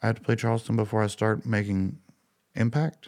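On a very clean recording with a silent background, a man with a Southern US accent speaks at a moderate pace in a fairly low pitch. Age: 40s. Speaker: musician. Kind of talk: interview. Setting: in his fly shop.

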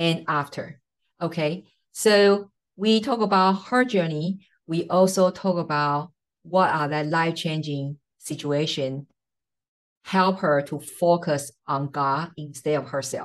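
At a slow pace, a woman with a low pitch speaks with ordinary pitch variation.

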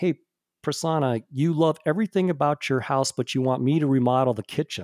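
A man with a plain, everyday voice and fairly high pitch speaks at a fairly quick pace. His pitch varies in an ordinary way, and the sound is dry and close with no echo. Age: 50s. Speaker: tech industry executive. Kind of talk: casual interview. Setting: remote audio recording.

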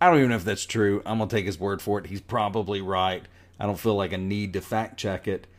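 On a very clean recording with a silent background, a man talks in a fairly low pitch with fairly even intonation. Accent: Southern US. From US South, North Carolina. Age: 40s. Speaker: podcast host. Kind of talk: solo podcast monologue. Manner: conversational, digressive.

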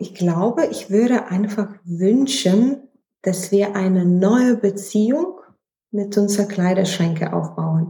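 A woman's medium-pitched, somewhat breathy voice with a dark, mellow tone, at a very slow pace. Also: ordinary pitch variation. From Lithuania. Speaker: fashion researcher and startup founder. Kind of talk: interview.

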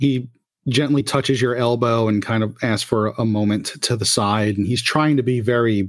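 Over a quiet background, the text is delivered as plain reading aloud.

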